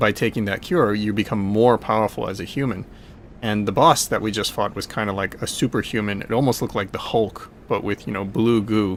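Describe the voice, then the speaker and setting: The speaker is soft-spoken. The pace is fairly quick. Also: man, fairly low pitch for a man, fairly even intonation. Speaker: video game streamer. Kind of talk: live gameplay commentary. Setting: live stream. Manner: casual, rambling with fillers.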